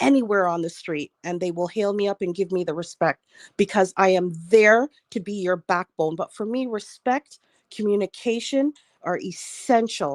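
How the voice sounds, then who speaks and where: A woman with a plain, everyday voice and a medium pitch speaks at a moderate pace, with a dry, close sound with no echo on a very clean recording with a silent background. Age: 60s. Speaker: panelist on online talk show. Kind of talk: casual panel discussion.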